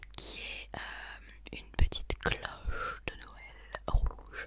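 A woman's whisper. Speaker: ASMR creator. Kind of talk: casual talk to camera. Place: home room. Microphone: studio mic.

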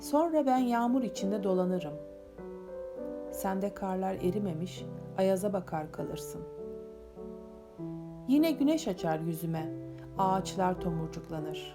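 With music in the background, a woman speaks at a fairly slow pace, taking long, frequent pauses. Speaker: poet. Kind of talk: poetry reading.

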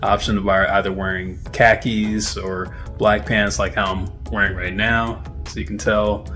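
Faint music plays behind a man who speaks fairly slowly in a fairly low voice. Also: ordinary pitch variation. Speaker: intern vlogger. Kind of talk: casual vlog chat. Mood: upbeat, friendly. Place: home room. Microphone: phone near.

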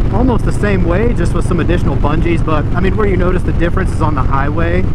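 Loud background noise surrounds a man whose voice sounds dry with no echo. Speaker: motorcycle vlogger. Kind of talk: casual vlog chat. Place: motorbike.

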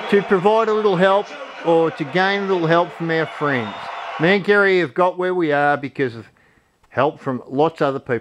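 Noticeable background noise accompanies a man with a high pitch. He keeps a moderate pace and ordinary pitch variation. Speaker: off-grid support group host. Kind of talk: casual vlog chat.

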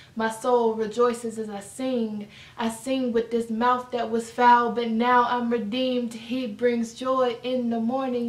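A woman's fairly high voice at a fairly slow pace, monotone and flat in intonation, with audible room echo. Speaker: spoken word poet. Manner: casual and warm in the intro. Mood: emotional, earnest. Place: home room. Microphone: camera far.

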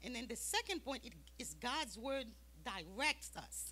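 A woman talking at a very slow pace. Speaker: Sunday school teacher. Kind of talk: sermon-like Bible lesson. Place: church. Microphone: handheld.

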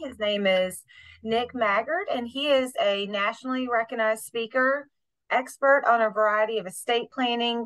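A woman with ordinary pitch variation over a quiet background. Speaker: program manager host. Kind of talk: webinar introduction. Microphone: video call.

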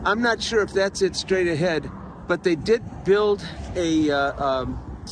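At a fairly slow pace, the voice comes through dry with no echo over light background noise. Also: man. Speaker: travel vlogger. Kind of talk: casual vlog chat. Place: open country. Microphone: phone near.

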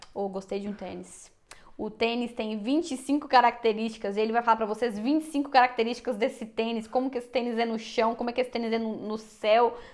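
A woman with a normal speaking voice talks at a fairly quick pace, her fairly high pitch moving in a fairly even line. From Brazil. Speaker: YouTuber. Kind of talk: casual chat. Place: home room. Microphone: lapel.

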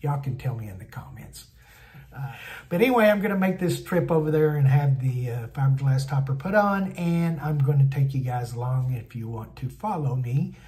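A man talks at a fairly quick pace with big swings in loudness. His tone is dark and mellow, somewhat breathy. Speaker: van build vlogger. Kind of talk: casual vlog chat. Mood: relaxed, looking forward to trip. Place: home room. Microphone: phone near.

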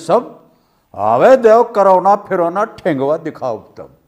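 At a very slow pace, a man talks in a high voice against a quiet background. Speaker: film actor. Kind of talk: poetry reading. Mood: playful, expressive.

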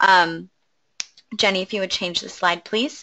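A woman talks at a fairly quick pace in a plain, everyday voice, her intonation fairly even. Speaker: webinar moderator. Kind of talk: webinar moderation. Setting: online webinar.

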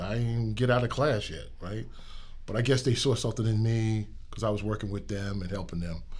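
In a New York accent, a somewhat breathy voice rushes along at a very fast pace with fairly even intonation. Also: man. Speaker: transportation executive. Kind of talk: casual interview.

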